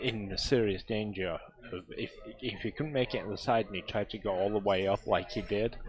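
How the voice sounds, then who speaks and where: With music in the background, a man speaks at a moderate pace and with fairly even intonation. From northern England, Yorkshire. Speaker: pool commentator. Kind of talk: live sports commentary.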